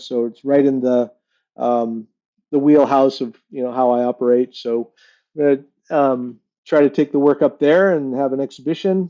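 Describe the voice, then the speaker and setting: A man with an American accent, fairly slow pace, fairly high pitch, dark and mellow tone and fairly even intonation, in a dry, close sound with no echo against a quiet background. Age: 60s. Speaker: glass artist. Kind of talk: interview. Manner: halting, many fillers.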